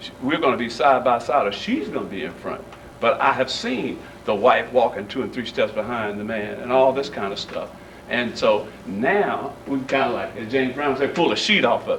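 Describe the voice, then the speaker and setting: Room echo and clear background noise are both audible. Amid them, a man speaks at a moderate pace. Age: 50s. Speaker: pastor speaking at community meeting. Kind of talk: community meeting remarks. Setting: church meeting room.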